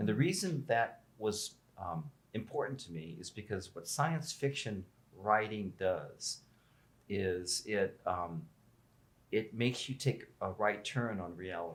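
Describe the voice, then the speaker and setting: A man with a fairly low pitch and a somewhat breathy voice speaks at a fairly slow pace, his intonation lively and his loudness swinging widely. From US Midwest, Omaha, Nebraska. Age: 70s. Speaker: inventor and inventors association founder. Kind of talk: interview conversation.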